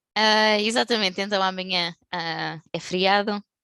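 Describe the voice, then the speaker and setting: Bright and sharp in tone, a woman speaks with a European Portuguese accent at a moderate pace and medium pitch, with a dry, close sound and no echo. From Portugal. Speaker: tech company specialist. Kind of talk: webinar presentation. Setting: video call. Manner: hesitant, many fillers.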